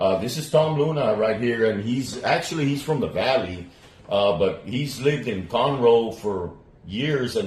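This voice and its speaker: Noticeable background noise, audible room echo, and a man speaking at a moderate pace. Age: 60s. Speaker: interviewer. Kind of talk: interview.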